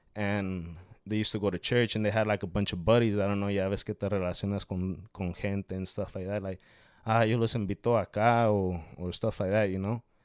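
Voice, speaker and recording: In a very clean recording with a silent background, a man talks at a fairly quick pace with monotone, flat intonation. The sound is dry and close, with no echo. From Mexico. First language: Spanish. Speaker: small business owner selling aguas frescas. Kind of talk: casual interview. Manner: halting, repeats words often.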